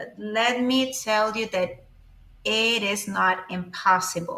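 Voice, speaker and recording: Speaking very slowly, a woman with a Spanish accent uses a fairly high pitch. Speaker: Spanish teacher. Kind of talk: live-stream language lesson. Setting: live stream. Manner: halting, many fillers.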